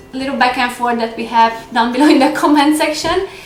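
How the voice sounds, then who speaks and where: A woman speaks at a high pitch. Noticeable background noise and audible room echo fill the recording. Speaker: lifestyle vlogger. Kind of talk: casual vlog Q&A. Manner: hesitant with fillers.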